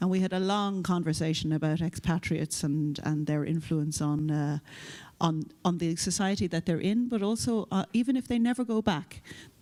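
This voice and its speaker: Speaking in an Irish accent at a moderate pace, the voice has a dark, mellow tone and lively intonation. Its loudness is very even, and the recording is very clean, with a silent background. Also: woman. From Ireland. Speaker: EU official, panelist. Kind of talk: conference panel discussion. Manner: hesitant, repeats words.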